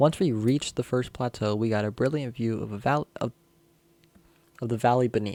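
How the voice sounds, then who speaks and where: A man's dark, mellow voice at medium pitch, fairly quick pace with long, frequent pauses, fairly even intonation, dry and close with no echo. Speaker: youtuber reading horror stories. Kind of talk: reading aloud with commentary. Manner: casual, swears; halting, stumbles over words.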